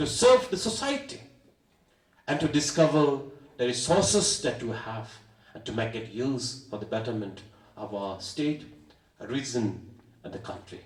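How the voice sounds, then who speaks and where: A man speaks at a fairly slow pace with long, frequent pauses, his fairly high pitch swinging very widely. His loudness swings a lot, and the room echo is audible. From Meghalaya, India (Garo Hills). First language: Atong. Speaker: state education minister. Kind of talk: formal speech. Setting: convocation ceremony.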